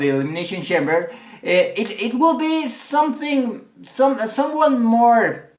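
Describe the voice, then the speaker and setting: Someone with a Mexican accent speaks at a very slow pace. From Mexico. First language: Spanish. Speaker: wrestling commentator. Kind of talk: casual vlog commentary. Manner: halting, many repetitions.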